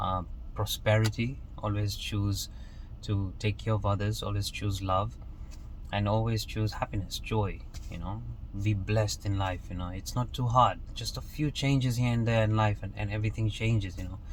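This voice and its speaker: There is audible echo from the room. Through it, a man talks at a moderate pace. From Kenya. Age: 20s. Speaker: motivational vlogger. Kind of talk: motivational monologue. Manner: casual, with frequent repetitions and fillers.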